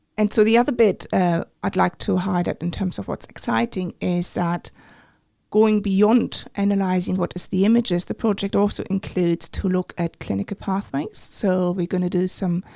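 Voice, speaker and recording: With a German accent, the speaker talks at a moderate pace in a dark, mellow tone with ordinary pitch variation, on a very clean recording with a silent background and a dry, close sound with no echo. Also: woman, medium pitch for a woman. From Germany. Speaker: medical imaging researcher. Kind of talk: interview.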